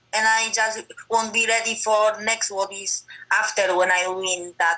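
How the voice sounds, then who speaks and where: Her delivery is fairly slow, and this woman keeps a monotone, flat intonation throughout. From Poland. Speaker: MMA fighter. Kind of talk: interview. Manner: halting non-native English.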